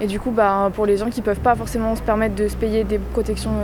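A woman talks fairly quickly amid noticeable background noise and audible room echo. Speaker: student. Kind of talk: vox pop interview.

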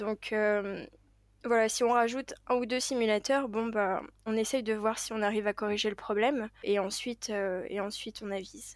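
The speech has fairly even intonation and a moderate pace, on a very clean recording with a silent background. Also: woman, fairly high pitch for a woman. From Paris, France. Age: 20s. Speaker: airline pilot. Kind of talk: interview. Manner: hesitant, many fillers.

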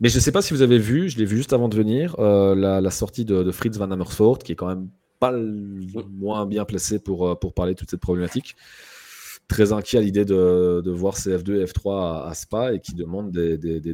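A man's fairly low voice with a Belgian accent and a dark, mellow tone, at a moderate pace with ordinary pitch variation, in a very clean recording over a silent background. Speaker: motorsport guest. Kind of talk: casual chat.

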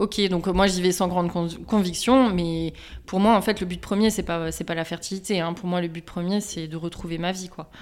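Fairly even intonation runs through speech delivered at a moderate speed. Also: woman, medium pitch for a woman. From eastern France, Strasbourg. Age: 30s. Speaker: endometriosis patient, HR manager. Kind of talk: testimony. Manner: halting, many fillers.

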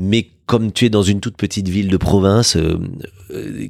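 A man's fairly low pitch with fairly even intonation. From southern France, Aveyron (Villefranche-de-Rouergue). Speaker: radio journalist and TV presenter, charity president. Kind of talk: casual interview chat. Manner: hesitant, repeats words.

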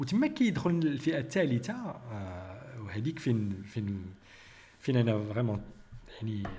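A man's medium-pitched voice with lively intonation, a fairly slow pace, long and frequent pauses, and audible room echo. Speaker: biochemist and YouTube commentator. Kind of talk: critical commentary monologue.

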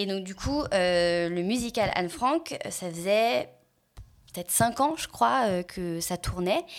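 The delivery is very slow. The pitch swings very widely. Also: woman, medium pitch for a woman. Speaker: voice actress and singer. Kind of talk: casual chat.

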